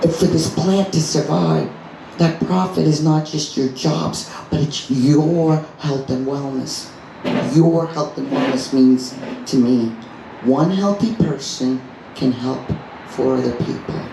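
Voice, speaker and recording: Amid noticeable background noise and audible room echo, a woman speaks very slowly at a very deep, low pitch with ordinary pitch variation. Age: 60s. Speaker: doctor and cannabis advocate. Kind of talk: rally speech. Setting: live event with audience. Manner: passionate.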